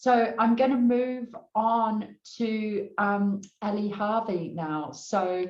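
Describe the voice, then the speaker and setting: In a New Zealand accent, a woman with a fairly high pitch speaks at a very slow pace with fairly even intonation. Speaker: panel moderator. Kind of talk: panel discussion.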